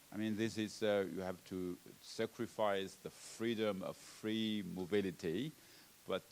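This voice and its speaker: A man with a Chinese accent at a very slow pace. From China. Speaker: panelist on health workforce policy. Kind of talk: conference panel discussion. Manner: halting, many fillers and repetitions.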